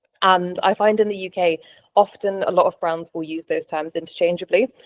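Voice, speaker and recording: At a fairly quick pace, a woman with a British accent speaks at a medium pitch, the sound dry and close with no echo. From UK. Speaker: travel copywriter. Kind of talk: interview.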